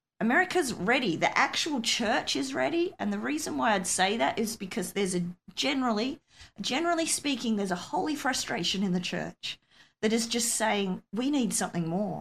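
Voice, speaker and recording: A woman talks at a fairly quick pace with an Australian accent. Her pitch swings very widely, and vocal fry comes through. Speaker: missionary pastor. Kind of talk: interview testimony.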